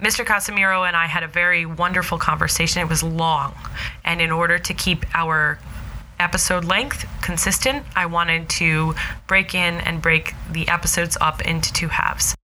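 With an American accent, a woman speaks at a moderate pace with a fairly low pitch, fairly even intonation and very even loudness over noticeable background noise. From New Jersey, US. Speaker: podcast host. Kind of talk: interview conversation; scripted intro.

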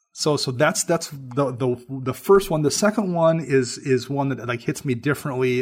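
On a very clean recording with a silent background, a somewhat breathy man speaks at a medium pitch and moderate pace with ordinary pitch variation. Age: 40s. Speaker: podcaster and writer. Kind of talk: casual chat.

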